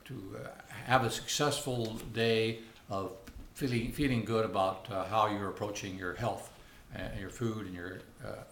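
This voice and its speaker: Noticeable background noise and audible room echo surround a man talking at a moderate pace in a fairly low voice with fairly even intonation. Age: 60s. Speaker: vlogger sharing personal experience. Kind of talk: casual talk to camera. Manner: halting, many fillers.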